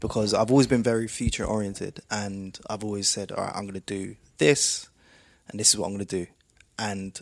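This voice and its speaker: A man's normal speaking voice, fairly low in pitch, at a fairly quick pace. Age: 30s. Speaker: podcast host and music producer. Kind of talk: casual interview conversation.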